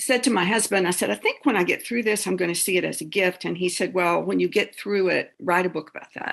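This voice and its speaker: Very fast, medium-pitched speech from a woman, with vocal fry, ordinary pitch variation and hardly any pauses. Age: 60s. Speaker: theologian and author. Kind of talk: interview. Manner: halting.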